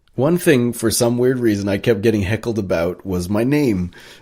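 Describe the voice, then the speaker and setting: In a North American accent, a man with a dark, mellow tone speaks at a moderate pace with ordinary pitch variation. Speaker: actor. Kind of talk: interview. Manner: halting, many fillers.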